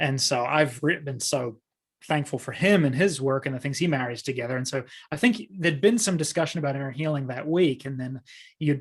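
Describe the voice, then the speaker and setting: A man's somewhat breathy, fairly high voice at a fairly quick pace, with ordinary pitch variation and a quiet background. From New Zealand. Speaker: pastor and author. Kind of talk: casual chat.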